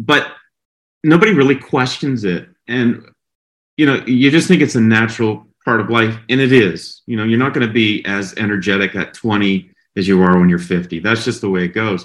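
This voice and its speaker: This is a man with an ordinary speaking voice at a medium pitch. He talks at a moderate pace. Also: ordinary pitch variation. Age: 50s. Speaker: health content creator. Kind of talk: casual interview.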